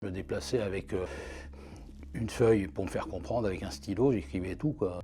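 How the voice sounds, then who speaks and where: A man's very deep, low voice moving at a fairly quick pace over music in the background. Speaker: archivist. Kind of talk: interview answer.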